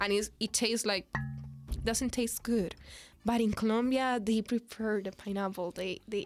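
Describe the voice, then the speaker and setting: A woman with a Spanish accent talks at a moderate pace and a fairly high pitch. Her intonation stays fairly even while music plays in the background. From Dominican Republic. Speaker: international student. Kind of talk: podcast interview answer. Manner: casual, chatty.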